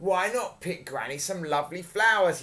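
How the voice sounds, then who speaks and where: A man performs a put-on character voice, raised and projected at a high pitch, delivered at a moderate pace. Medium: read story. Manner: sly, menacing.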